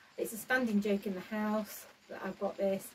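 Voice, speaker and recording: Over noticeable background noise, a woman talks at a fairly quick pace with flat, monotone intonation. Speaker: allotment gardener vlogger. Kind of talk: casual vlog chat. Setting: garden shed. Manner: halting.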